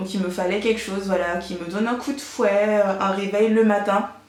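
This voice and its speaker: A woman talks at a medium pitch and moderate pace. Her intonation is monotone and flat, with noticeable background noise. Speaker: beauty vlogger. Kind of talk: product haul review. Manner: many fillers and hesitations.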